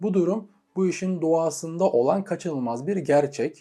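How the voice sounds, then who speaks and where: A man with a dark, mellow tone speaks at a moderate pace, his pitch varying in an ordinary way. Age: 20s. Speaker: entrepreneur and YouTuber. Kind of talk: scripted monologue.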